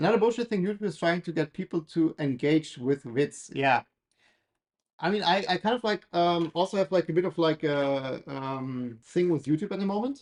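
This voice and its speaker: Someone with a German accent speaks at a moderate pace. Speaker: maker building a 3D printer on livestream. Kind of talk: casual livestream build commentary. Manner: hesitant, many fillers.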